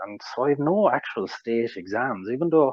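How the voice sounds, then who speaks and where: Here a man with an Irish accent talks at a moderate pace. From Ireland. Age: 40s. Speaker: interviewee sharing mental health recovery story. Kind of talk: interview testimony. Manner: hesitant, with fillers and repetitions.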